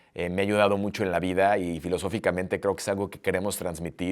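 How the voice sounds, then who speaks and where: A man with a fairly low pitch is heard on a very clean recording against a silent background. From Mexico. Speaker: podcast host. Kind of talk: interview conversation. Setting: in person, Paris. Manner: halting.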